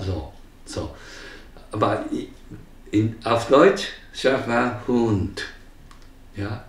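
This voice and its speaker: A man talks at a very slow pace, with long and frequent pauses. The room echo is audible. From Japan. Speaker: volunteer senior teacher at a school. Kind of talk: interview answer. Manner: hesitant, many filler sounds. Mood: cheerful, warm. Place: home room.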